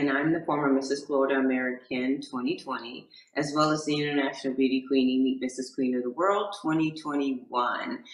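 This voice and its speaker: A woman with a very deep, low voice speaks at a fairly quick pace with hardly any pauses, over noticeable background noise. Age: 60s. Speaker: motivational speaker and pageant queen. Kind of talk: interview.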